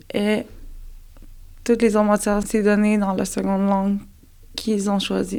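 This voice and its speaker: Speaking at a moderate pace with long, frequent pauses, a woman with a northern Canadian accent has a dark, mellow tone, medium pitch and monotone, flat intonation. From Nunavik and Quebec City, Quebec. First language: Inuktitut (speaking French). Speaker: special education teacher. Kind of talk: interview. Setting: on location in Nunavik village.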